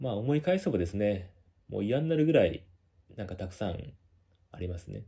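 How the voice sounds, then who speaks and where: Over a quiet background, a man speaks fairly quickly at a fairly low pitch, somewhat breathy and dark and mellow in tone, with very wide pitch swings and big swings in loudness. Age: 30s. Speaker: company employee and video blogger; vlogger recounting workplace harassment. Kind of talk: monologue. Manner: hesitant, many filler words. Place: home room. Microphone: phone near.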